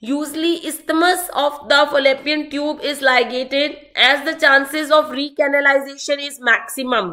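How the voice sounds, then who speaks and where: A woman projects a raised, high voice with a bright, sharp tone and fairly even intonation. She keeps a moderate pace with hardly any pauses. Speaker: medical exam tutor. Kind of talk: online lecture.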